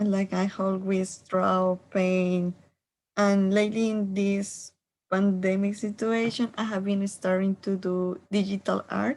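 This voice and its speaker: A woman with a Spanish accent talks at a medium pitch and a very slow pace. Her intonation is monotone and flat, and her loudness stays very even. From Colombia. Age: 20s. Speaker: art student. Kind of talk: self-introduction. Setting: video call.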